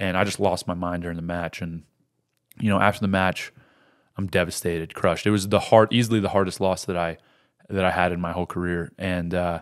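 On a very clean recording with a silent background, a man with an American accent speaks at a moderate pace in a very deep, low pitch. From Colorado, US. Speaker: wrestler and UFC fighter. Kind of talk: sports commentary, narrating a wrestling match replay. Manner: play-by-play, animated, narrating the moves as they happen.

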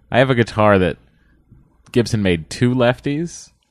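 A man with lively intonation at a moderate pace. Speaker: TV writer and podcaster. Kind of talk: casual chat. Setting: studio.

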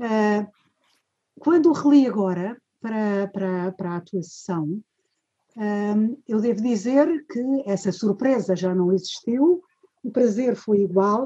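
A woman with a dark, mellow tone speaks at a very slow pace with lively intonation. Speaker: retired professor, course organizer. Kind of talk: formal introduction. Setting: video call.

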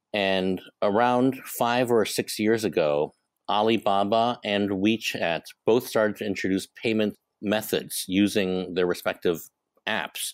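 A man speaks at a fairly slow pace and fairly low pitch with an American accent. His intonation stays fairly even, and the sound is dry and close with no echo. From Hong Kong. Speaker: startup co-founder. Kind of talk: interview.

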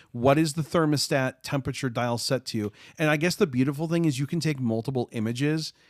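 Dry and close with no echo, the recording carries a man with an unremarkable speaking voice and an American accent. He talks at a fairly quick pace with medium pitch and ordinary pitch variation. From US Midwest, Chicago. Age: 30s. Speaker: YouTuber and accessible gaming advocate. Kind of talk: casual chat.

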